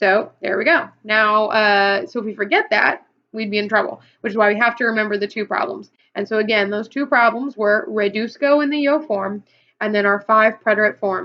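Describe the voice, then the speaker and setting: With an American accent, a woman speaks in a fairly high pitch with ordinary pitch variation. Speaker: Spanish teacher. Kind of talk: tutorial. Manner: fast.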